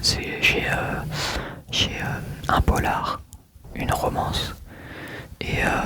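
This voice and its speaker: Whispering at a very slow pace with long, frequent pauses, a man is heard over noticeable background noise. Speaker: ASMR creator. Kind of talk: ASMR talk to camera. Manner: whispered.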